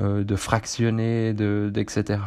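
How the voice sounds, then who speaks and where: Against a quiet background, a man talks with a fairly low pitch. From central Switzerland. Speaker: running podcaster. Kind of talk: casual solo monologue. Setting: seated solo recording. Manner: hesitant, many fillers.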